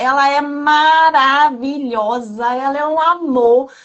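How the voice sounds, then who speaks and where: A woman speaks at a very slow pace and a high pitch, with ordinary pitch variation. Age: 30s. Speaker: program participant giving testimony. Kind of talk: testimony. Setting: video call.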